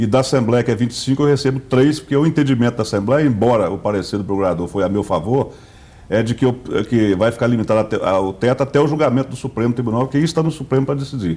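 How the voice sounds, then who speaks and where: A man with a dark, mellow tone talks at a very fast pace. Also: medium pitch for a man, ordinary pitch variation. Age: 60s. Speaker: state politician. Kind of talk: interview. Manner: halting.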